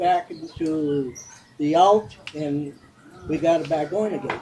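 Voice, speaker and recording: The man's pitch is fairly high with ordinary variation. He talks fairly slowly over noticeable background noise. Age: 70s. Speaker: motorcycle club vice president. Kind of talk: interview. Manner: halting.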